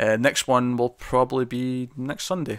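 Medium-pitched male voice with a Scottish accent, very clean recording, silent background. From Scotland. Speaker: podcast host. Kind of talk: casual chat.

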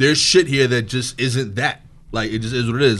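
Pitched at a medium level, a man speaks in a New York accent with ordinary pitch variation. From East New York, Brooklyn. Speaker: stand-up comedian. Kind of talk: casual chat.

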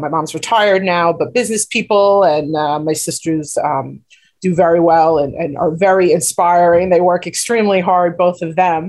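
The speaker has a New York accent and fairly even intonation. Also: woman. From Queens, New York. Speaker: nonprofit co-founder. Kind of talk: radio interview.

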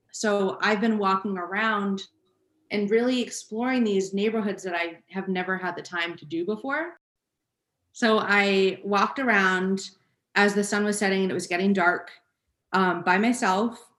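At a moderate pace, a woman with an unremarkable speaking voice talks at medium pitch with fairly even intonation. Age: 20s. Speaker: music podcast co-host. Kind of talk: casual chat.

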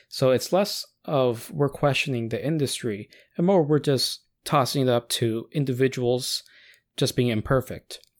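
In a very clean recording with a silent background, a man uses a normal speaking voice at medium pitch, with ordinary pitch variation, very even loudness, and a moderate pace. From United States. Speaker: podcast co-host. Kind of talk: casual chat.

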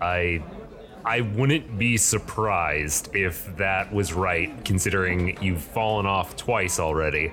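A put-on character voice from a man, very deep and low, at a fairly slow pace over clear background noise. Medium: actual play. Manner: sarcastic, crude.

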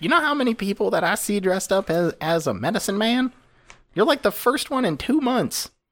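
A man's put-on character voice, high and fairly quick, with very wide pitch swings. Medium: actual play. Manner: wry, impatient.

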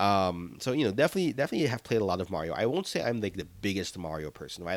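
On a very clean recording with a silent background, a man with a fairly low pitch speaks with lively intonation. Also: dry, close sound with no echo. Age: 30s. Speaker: podcast host. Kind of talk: solo podcast commentary.

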